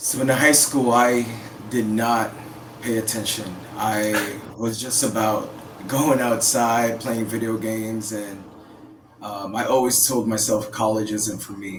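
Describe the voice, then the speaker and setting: The man talks at a fairly slow pace in a medium pitch, his intonation monotone and flat. Room echo is audible and background noise is noticeable. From Philippines, raised in Oakland, California. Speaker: counselor and Navy veteran. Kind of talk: podcast interview.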